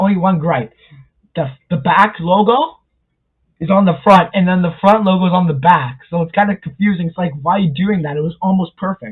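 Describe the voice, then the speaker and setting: This is a man with a high voice. He speaks at a fairly quick pace. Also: ordinary pitch variation. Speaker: YouTube pop culture commentator. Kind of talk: casual vlog commentary. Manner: fast; casual, filler-heavy.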